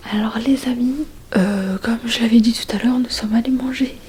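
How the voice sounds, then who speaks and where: Against noticeable background noise, a woman speaks with fairly even intonation. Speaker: vlogger. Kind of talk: casual vlog talk to camera. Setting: holiday rental at night. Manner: hesitant, many fillers; whispering.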